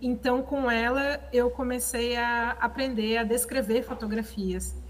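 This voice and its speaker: A woman speaks very slowly at a fairly high pitch. Her voice is somewhat breathy, with a monotone, flat intonation. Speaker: conservator-restorer and audio describer. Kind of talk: seminar talk. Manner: halting, many fillers.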